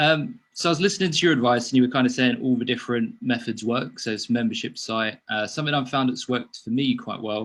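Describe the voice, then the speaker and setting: A man with an English accent talks at a very fast pace, hardly pausing at all. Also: medium pitch for a man, ordinary pitch variation, quiet background. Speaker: sleep coach. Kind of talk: casual chat. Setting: video call.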